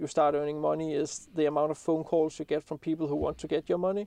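A man with a Danish accent, fairly high in pitch, in a monotone, flat intonation, with a dry, close sound and no echo. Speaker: landscape photographer and YouTuber. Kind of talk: podcast interview.

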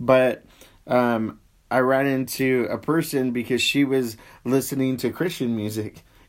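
In a plain, everyday voice, a man talks at a fairly slow pace and medium pitch with fairly even intonation. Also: very clean recording, silent background. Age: 40s. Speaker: pastor. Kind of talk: casual chat about faith. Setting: Facebook Live stream.

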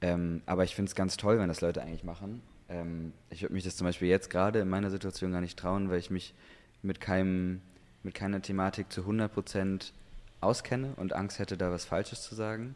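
Here a man talks at a fairly quick pace. His voice is very deep and low, with fairly even intonation. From Germany, Hamburg. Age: 20s. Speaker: actor. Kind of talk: casual chat.

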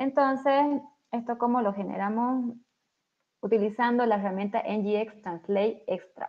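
Fairly high in pitch, a woman's plain, everyday voice, her intonation fairly even. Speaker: software developer. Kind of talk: technical tutorial.

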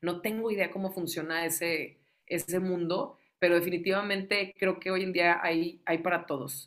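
A woman with an ordinary speaking voice talks at a moderate pace, with hardly any pauses. Her pitch is fairly low and her intonation fairly even. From Tamaulipas, Mexico. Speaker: radio host and music lover. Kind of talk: casual interview chat.

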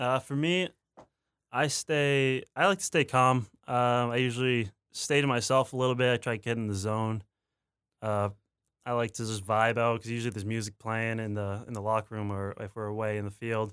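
A man with an unremarkable speaking voice talks at a fairly quick pace, medium in pitch with ordinary pitch variation, in a very clean recording with a silent background. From Ontario, Canada. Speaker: college baseball player. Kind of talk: interview.

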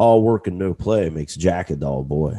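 A man's very deep, low voice in a dark, mellow tone, with lively intonation. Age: 40s. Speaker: podcast host. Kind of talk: solo motivational monologue. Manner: casual, with frequent fillers and repetitions.

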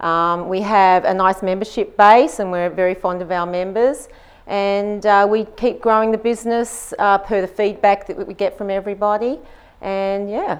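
A woman with an Australian accent speaks at medium pitch and a moderate pace. Her intonation is fairly even. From Australia, Queensland Gold Coast. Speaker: gym co-owner and personal trainer. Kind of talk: interview.

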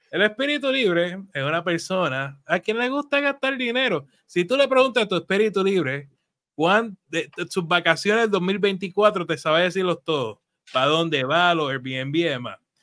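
A man speaks at a moderate pace in a high pitch, his bright, sharp tone swinging very widely in pitch on a very clean recording with a silent background. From Puerto Rico. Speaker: financial advisor and show host. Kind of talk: live show, casual chat. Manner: animated.

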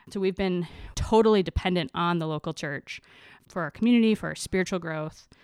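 Speaking at a fairly quick pace with a Midwestern American accent and ordinary pitch variation, this voice has a dry, close sound with no echo on a very clean recording with a silent background. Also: woman, fairly low pitch for a woman. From US Midwest. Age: 30s. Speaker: postdoctoral researcher. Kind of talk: casual interview chat. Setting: recording in host's kitchen.

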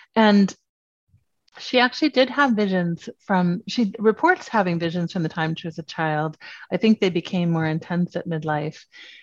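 A woman's ordinary speaking voice, fairly low in pitch with ordinary pitch variation, at a moderate pace in a dry, close sound with no echo and a quiet background. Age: 50s. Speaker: writer and spiritual teacher. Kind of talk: casual chat.

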